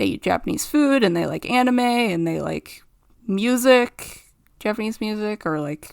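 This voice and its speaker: Fairly slow speech from a woman with a Canadian accent, medium pitch and ordinary pitch variation. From Canada. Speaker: artist, cartoon creator. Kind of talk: unscripted commentary over a speed drawing.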